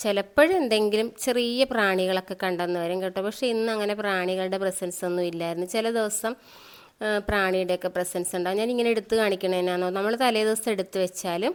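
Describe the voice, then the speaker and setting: The intonation is fairly even in a normal speaking voice. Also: woman, medium pitch for a woman. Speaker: vlogger and mushroom grower. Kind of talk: casual vlog narration.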